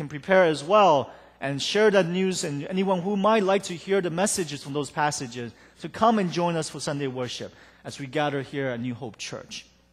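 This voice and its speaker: High-pitched for a man, this voice keeps a moderate pace with ordinary pitch variation and big swings in loudness. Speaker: pastor. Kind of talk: sermon. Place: church.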